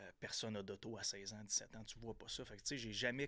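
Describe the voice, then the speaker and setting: A man with a Quebec accent, medium pitch and a flat, monotone delivery. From Quebec, Gaspésie (Percé). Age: 30s. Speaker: entrepreneur and podcaster. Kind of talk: casual interview. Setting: studio.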